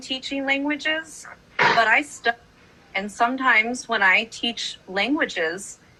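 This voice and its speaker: Against noticeable background noise, a woman speaks at a very slow pace with a high pitch and lively intonation. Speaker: high school choir director. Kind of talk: casual chat.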